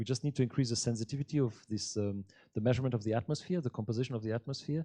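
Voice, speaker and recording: Speaking very fast, a man with a medium pitch and ordinary pitch variation has a dark, mellow, somewhat breathy tone, heard in a dry, close sound with no echo. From Alpine region. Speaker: astronomer and space agency scientist. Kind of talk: audience Q&A after public lecture.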